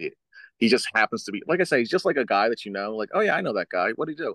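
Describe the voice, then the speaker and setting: A man is speaking against a quiet background. The sound is dry and close, with no echo. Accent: American. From US Northeast, South Jersey. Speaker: professional wrestler. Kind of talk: casual chat.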